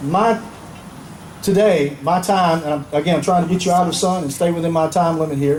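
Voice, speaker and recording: Amid audible room echo and noticeable background noise, a man with a high pitch speaks at a moderate pace, using fairly even intonation and long, frequent pauses. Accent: Southern US. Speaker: retired army general, keynote speaker. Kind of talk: patriotic public speech.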